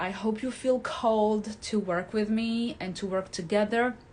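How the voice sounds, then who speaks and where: A woman with a fairly high pitch speaks at a fairly slow pace. Her voice is somewhat breathy, with ordinary pitch variation. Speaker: hypnotherapist and life coach. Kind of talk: talking-head video with course pitch. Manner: pauses to find words.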